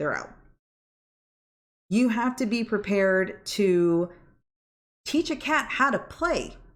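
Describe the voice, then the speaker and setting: A woman talks loudly at a medium pitch and a very slow pace, with very wide pitch swings and long, frequent pauses, on a very clean recording with a silent background. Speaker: vlogger and cat foster volunteer. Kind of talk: casual monologue.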